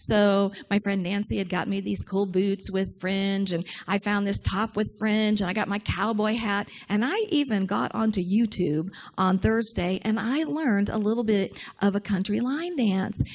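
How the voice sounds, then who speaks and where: In a very clean recording with a silent background, a woman with an ordinary speaking voice talks at a moderate pace, her medium pitch showing ordinary pitch variation. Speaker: minister. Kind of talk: sermon.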